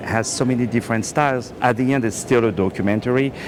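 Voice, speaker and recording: A man speaks very fast with a French accent, his pitch medium. Noticeable noise runs in the background. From France. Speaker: film director. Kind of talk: red carpet interview. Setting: movie premiere.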